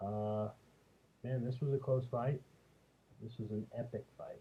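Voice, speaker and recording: This soft-spoken voice has a dark, mellow tone and is somewhat breathy. It moves at a moderate pace with ordinary pitch variation. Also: man. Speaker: MMA commentator. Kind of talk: casual monologue review. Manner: hesitant with fillers.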